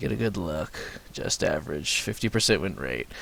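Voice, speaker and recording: A man talks with vocal fry. His pitch swings very widely. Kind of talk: gameplay commentary. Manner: casual.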